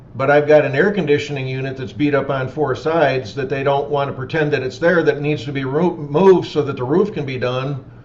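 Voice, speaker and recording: With audible room echo and noticeable background noise, a man speaks with ordinary pitch variation. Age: 50s. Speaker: roofing company owner. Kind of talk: webinar Q&A.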